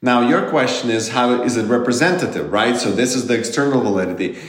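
Noticeable background noise sits under a man talking at a fairly quick pace with a medium pitch. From Ukraine. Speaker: economist. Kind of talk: interview.

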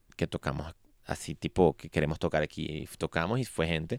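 Dry and close with no echo, a man's unremarkable speaking voice carries lively intonation. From Venezuela. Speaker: musician. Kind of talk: interview. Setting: studio.

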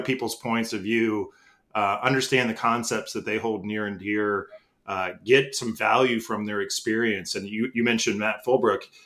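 A man with a medium pitch and fairly even intonation is heard on a very clean recording with a silent background. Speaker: podcast host. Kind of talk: casual chat. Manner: halting, many fillers.

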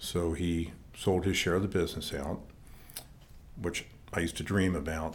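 With an American accent, a man speaks in a very deep, low, somewhat breathy voice at a moderate pace with flat, monotone intonation, long, frequent pauses and audible room echo. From Maryland, northern Baltimore County. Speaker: church leader and former rock drummer. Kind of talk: personal testimony interview.

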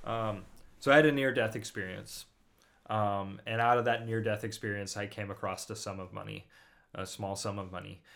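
In a normal speaking voice, the speaker keeps a moderate pace and fairly even intonation while the loudness swings widely. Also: man, fairly low pitch for a man. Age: 30s. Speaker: musician. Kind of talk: casual chat.

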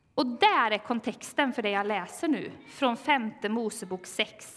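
Against noticeable background noise, a woman talks at a fairly slow pace with lively intonation and a fairly high pitch. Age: 40s. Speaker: pastor. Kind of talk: sermon.

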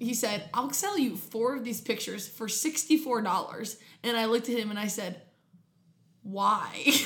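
Lively intonation from a woman with an American accent, fairly high in pitch and fairly slow, over noticeable background noise. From Ohio, Columbus suburbs. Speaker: podcast co-host, social work student. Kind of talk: casual chat.

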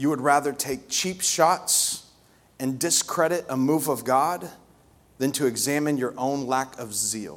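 A man speaks at a fairly slow pace. His voice is fairly high, with ordinary pitch variation. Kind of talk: sermon in full flow, preaching to a live congregation. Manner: animated, passionate, emphatic with repetition.

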